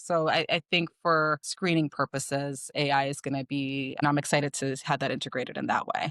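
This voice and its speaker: A woman with a Chicago accent speaks at a very deep, low pitch in a monotone, flat intonation, at a fairly quick pace with hardly any pauses. The sound is dry and close with no echo, on a very clean recording with a silent background. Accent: Chicago, Midwestern US. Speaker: optometrist. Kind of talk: interview answer.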